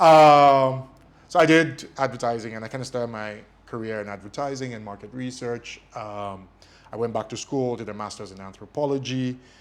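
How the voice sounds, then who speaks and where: A man's voice at a medium pitch with ordinary pitch variation, in a Nigerian accent, with big swings in loudness. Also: moderate pace. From Nigeria, Lagos (Surulere). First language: Ijesha Yoruba. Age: 30s. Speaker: media company executive. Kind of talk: interview. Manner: hesitant, many fillers.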